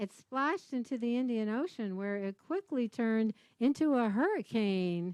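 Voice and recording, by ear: In a natural voice, a passage is read out loud.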